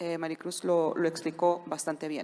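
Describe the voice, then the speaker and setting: A woman with a fairly low pitch speaks with a non-native accent. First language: not Spanish (speaking Spanish). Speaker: corporate trademark lawyer. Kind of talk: conference panel talk.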